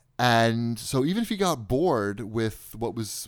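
A man with a Long Island accent and lively intonation. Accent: New York (Long Island). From US Northeast (Long Island, New York). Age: 40s. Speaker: deals website owner and podcaster. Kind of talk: casual chat.

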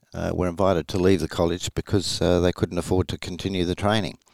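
With an Australian accent, a man speaks in a very deep, low voice, the sound dry and close with no echo. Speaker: retired rear admiral. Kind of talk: interview, historical account.

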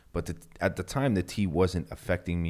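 Vocal fry at a fairly quick pace. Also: man. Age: 30s. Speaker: podcast host. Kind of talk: casual solo talk. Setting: home office studio. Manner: casual, filler-heavy.

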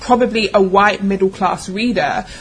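With a London accent, a woman talks at a moderate pace and fairly even intonation over noticeable background noise. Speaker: publisher and founder of an online publishing company. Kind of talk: panel discussion. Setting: live panel with audience.

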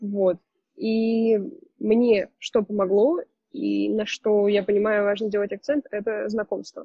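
Her intonation fairly even, a woman speaks at a very slow pace. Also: medium pitch for a woman. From Russia, Saint Petersburg. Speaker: photographer. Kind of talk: casual interview.

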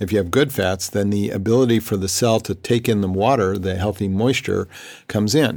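A man talks at a fairly quick pace in a fairly low pitch with ordinary pitch variation, a normal speaking voice. The recording is very clean with a silent background. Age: 60s. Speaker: holistic health practitioner. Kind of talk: interview.

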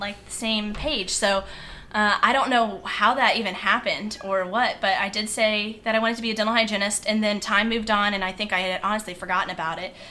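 A woman with an American accent, fairly high in pitch, fairly even in intonation and fairly quick in pace. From Virginia Beach, Virginia. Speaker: dental hygienist and run club leader. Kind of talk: casual interview.

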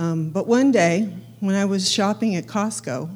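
Speaking at a fairly slow pace, a woman with a medium pitch and vocal fry makes very wide pitch swings. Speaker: churchgoer giving testimony. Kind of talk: testimony. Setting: church. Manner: nervous.

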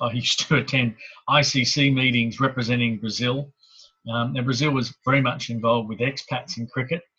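At a moderate pace, a man speaks in a medium pitch with a bright, sharp tone and fairly even intonation. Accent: Australian. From Sydney, Australia (Hornsby area). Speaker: local councillor. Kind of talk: interview.

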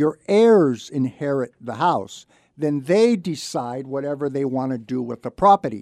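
A man with an American accent, fairly high in pitch, with lively intonation and a fairly slow pace, in a dry, close sound with no echo on a very clean recording with a silent background. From Santa Barbara, California. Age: 50s. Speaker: radio host and reverse mortgage loan officer. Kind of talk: radio talk show. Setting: studio.

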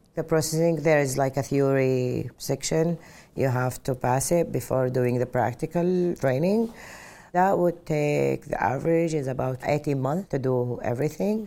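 A woman with a very deep, low pitch speaks at a moderate pace. Her loudness stays very even, with ordinary pitch variation. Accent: Arabic. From Saudi Arabia (Mecca). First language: Arabic. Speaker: airline pilot. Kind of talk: personal testimony interview.

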